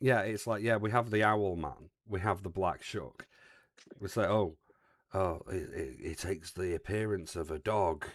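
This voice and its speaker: Over a silent background on a very clean recording, a man with an English accent talks at a fairly slow pace in a fairly low pitch. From England. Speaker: streamer. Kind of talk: casual chat.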